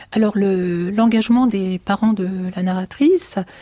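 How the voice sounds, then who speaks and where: This woman's voice is somewhat breathy, with fairly even intonation. The sound is dry and close, with no echo. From France, Turkish family. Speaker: writer. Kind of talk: radio interview.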